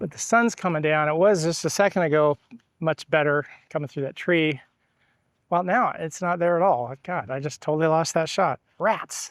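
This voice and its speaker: With a plain, everyday voice, a man talks at a moderate pace with ordinary pitch variation, on a very clean recording with a silent background and a dry, close sound with no echo. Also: fairly high pitch for a man. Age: 60s. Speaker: travel and photography vlogger. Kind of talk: casual vlog monologue. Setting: outdoors.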